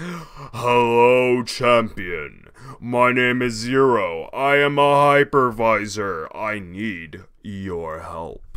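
A man puts on a character voice at a medium pitch. He talks at a very slow pace. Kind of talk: casual let's play gaming commentary. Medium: role play. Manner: energetic, joking.

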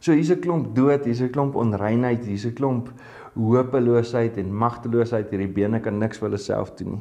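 A man's dark, mellow tone with ordinary pitch variation against a quiet background. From South Africa. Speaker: pastor. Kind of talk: sermon. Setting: online video devotion. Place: studio. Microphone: lapel.

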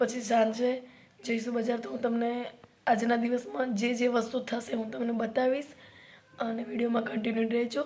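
A woman with a fairly high voice speaks at a moderate pace, her tone slightly mellow and her pitch barely moving.

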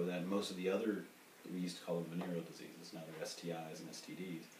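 The speaker has an American accent. There is audible room echo and light background noise. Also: man. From US South. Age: 40s. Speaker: sex coach. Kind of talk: casual chat. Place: home room. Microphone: camera far.

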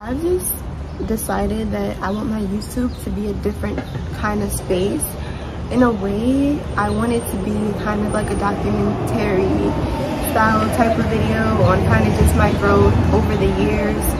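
A woman with an American accent at a moderate pace, against loud background noise. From New York City. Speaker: entrepreneur and YouTuber. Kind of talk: casual talk to camera. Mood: reflective, sincere. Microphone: phone near.

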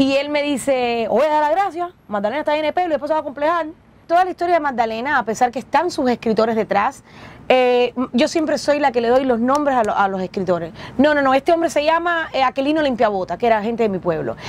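A woman's very fast, high-pitched speech in a Cuban accent, with lively intonation. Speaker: actress and comedian. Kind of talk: interview storytelling. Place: bus. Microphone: lapel.

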